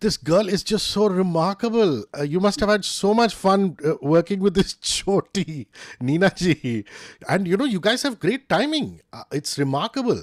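A man's high-pitched voice with an Indian accent, lively intonation and a moderate pace, dry with no echo over a quiet background. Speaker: interviewer. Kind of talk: casual interview. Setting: video call. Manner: animated. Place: home room. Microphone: studio mic.

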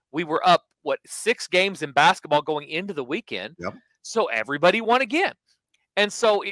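A man's raised, projected voice has a bright, sharp tone and very wide pitch swings, moving at a fairly quick pace with a dry sound and no echo. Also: quiet background. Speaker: sports betting show host. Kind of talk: podcast commentary. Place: home room. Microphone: headset.

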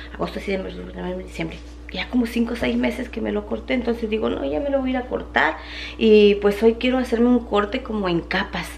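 At a moderate pace, a woman is talking. Light background noise is present. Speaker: vlogger. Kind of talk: casual vlog chat. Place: kitchen. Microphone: phone near.

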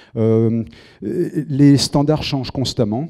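A man's dark, mellow tone over a quiet background. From southern France. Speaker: film composer. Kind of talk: lecture. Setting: auditorium with audience. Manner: halting. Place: hall. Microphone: handheld.

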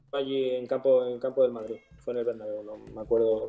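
Speaking at a fairly quick pace, a man uses a medium pitch and a monotone, flat intonation. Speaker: professional footballer; guest. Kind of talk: casual interview. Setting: live stream. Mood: relaxed, friendly. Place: home room. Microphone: video call.

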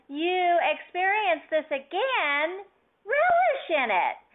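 Her voice is extremely high, with very wide pitch swings. The woman speaks at a very slow pace. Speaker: spiritual channeler. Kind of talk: channeled message. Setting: conference call. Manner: formal.

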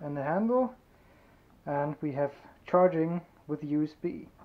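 A woman's very deep, low voice amid noticeable background noise. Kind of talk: tutorial show-and-tell. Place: workshop. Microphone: phone near.

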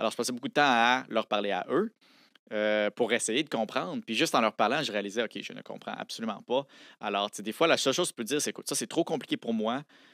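Against a quiet background with a dry, echo-free sound, a man speaks in a bright, sharp tone with ordinary pitch variation. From Quebec City area, Quebec; Quebec. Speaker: science popularizer, lawyer and engineer; lawyer. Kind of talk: casual interview. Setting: studio. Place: studio. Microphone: studio mic.

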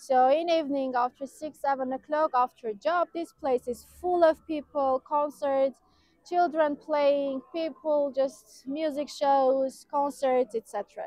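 A woman speaks very slowly in an Armenian accent. Her voice is high-pitched. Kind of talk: outdoor walking-tour commentary, pointing out landmarks to camera. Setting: outdoors, walking through city squares. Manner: enthusiastic, descriptive, loosely run-on phrasing; slightly halting non-native English with fillers.

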